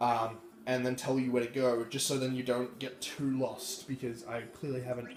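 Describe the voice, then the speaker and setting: A man at medium pitch and moderate pace, with audible room echo and noticeable background noise. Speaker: gaming YouTuber. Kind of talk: game walkthrough commentary. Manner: casual, hesitant fillers.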